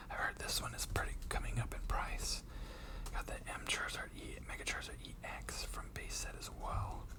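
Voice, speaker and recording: A man whispers at a moderate pace amid noticeable background noise. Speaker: Pokemon card collector and YouTuber. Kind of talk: casual talk to camera, card collecting video. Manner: soft-spoken.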